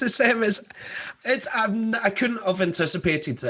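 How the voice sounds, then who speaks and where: This man speaks with a Scottish accent. He keeps a moderate pace. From Scotland, Glasgow. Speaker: rock band musician. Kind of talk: radio interview.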